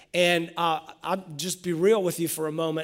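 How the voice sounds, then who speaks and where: With a normal speaking voice, a man talks at a moderate pace and a fairly high pitch. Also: very clean recording, silent background. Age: 40s. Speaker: pastor. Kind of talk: sermon.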